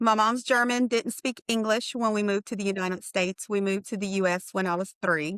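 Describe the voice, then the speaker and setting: With an American accent, this is a plain, everyday voice at a fairly quick pace. The intonation stays fairly even. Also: woman. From US military brat, high school in Oklahoma. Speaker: radiation therapy leader. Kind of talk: casual interview. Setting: call.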